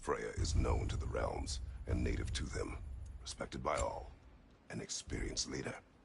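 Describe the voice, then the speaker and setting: Over clear background noise, a man does a put-on character voice at a moderate pace with long, frequent pauses. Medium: video game. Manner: terse, grave.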